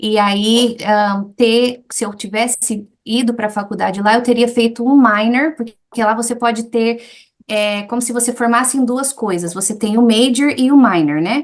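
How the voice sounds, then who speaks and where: The speaker has a plain, everyday voice. The pace is fairly slow. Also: woman, fairly high pitch for a woman, fairly even intonation. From Brazil, Goiás (Anápolis), with childhood years in the US. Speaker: English teacher. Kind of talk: interview, personal life story.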